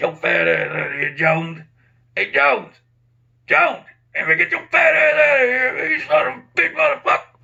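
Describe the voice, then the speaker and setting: Using a put-on character voice, a man speaks in a raised, projected, raspy voice at a moderate pace. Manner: shouting, abusive, heckling.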